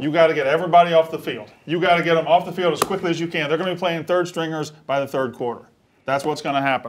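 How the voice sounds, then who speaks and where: Speaking at a very fast pace in a Southern US accent, a man uses a fairly high pitch and fairly even intonation over noticeable background noise. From Mississippi. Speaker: sports betting analyst. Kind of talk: sports talk show. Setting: studio. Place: studio. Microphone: lapel.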